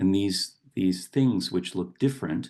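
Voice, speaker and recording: Against a quiet background, a man with a very deep, low pitch speaks with lively intonation and vocal fry. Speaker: poet and professor; meditation guide. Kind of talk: reflective talk on poetry and meditation.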